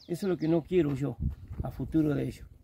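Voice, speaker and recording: This man has a normal speaking voice with a fairly high pitch. He talks at a fairly quick pace with ordinary pitch variation. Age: 60s. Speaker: farmer. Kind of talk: casual chat.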